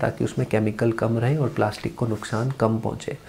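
Delivered at a moderate pace, the voice stays monotone and flat in intonation. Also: man. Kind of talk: tutorial.

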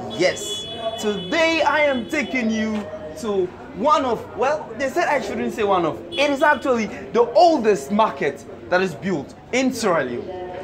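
A man talks fairly slowly, and noticeable background noise can be heard behind him. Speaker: vlogger. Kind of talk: casual vlog chat. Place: market.

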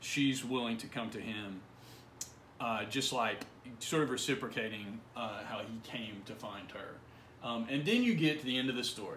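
A man talks at a moderate pace with fairly even intonation. Light background noise and audible room echo are present. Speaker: college literature instructor. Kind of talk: literary audiobook reading, a passage from the story read aloud within a lecture. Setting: recorded video lesson for an online course. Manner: measured, even, read-aloud pacing with a gentle, reflective tone; informal, conversational and explanatory in the surrounding lecture. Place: home room. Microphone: phone near.

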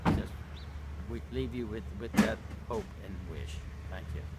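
Loud background noise runs behind a man who talks at a fairly slow pace. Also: dry sound with no echo. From Maryland, USA. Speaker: marathon runner. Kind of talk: interview answer. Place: garden. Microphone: phone near.

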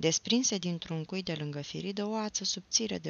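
Ordinary pitch variation runs through the delivery. It is a natural reading voice.

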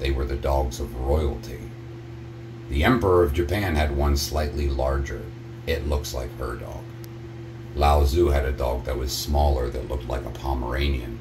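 Noticeable background noise sits behind a man with a very deep, low pitch who speaks at a moderate pace, with ordinary pitch variation and long, frequent pauses. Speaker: vlogger. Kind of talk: casual vlog chat. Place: bathroom. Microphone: phone near.

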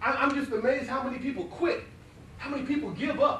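A man speaks in a raised, projected voice with an extremely high pitch, an animated tone, ordinary pitch variation and a fairly quick pace. Light background noise and audible room echo are present. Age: 40s. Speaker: motivational speaker. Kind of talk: motivational speech. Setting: stage with audience. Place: classroom. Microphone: camera far.

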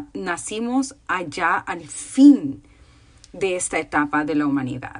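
The pitch of this woman's voice swings very widely. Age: 30s. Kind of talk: casual chat; casual talk on faith. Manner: informal, with many fillers. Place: home room. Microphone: phone near.

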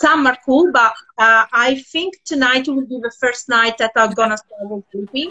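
In an Italian accent, a woman speaks at a fairly slow pace with a high pitch and ordinary pitch variation. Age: 50s. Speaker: tour organizer and project founder. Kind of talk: casual chat. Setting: live video call.

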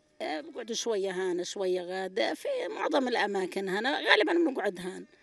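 Her pitch is medium, and this woman's intonation is lively. She keeps a moderate pace against noticeable background noise. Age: 60s. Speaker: displaced person, retired UN agency teacher. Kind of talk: street interview testimony. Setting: outdoors at night in displacement camp.

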